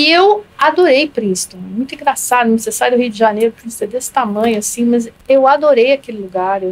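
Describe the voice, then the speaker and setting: A woman with a high pitch, ordinary pitch variation and a fairly quick pace, with hardly any pauses. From Rio de Janeiro, Brazil. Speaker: public health professor. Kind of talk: podcast interview answer.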